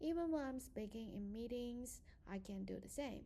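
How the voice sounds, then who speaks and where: A woman with a dark, mellow, somewhat breathy tone speaks at a moderate pace with ordinary pitch variation. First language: not English. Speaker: student. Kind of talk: prepared presentation.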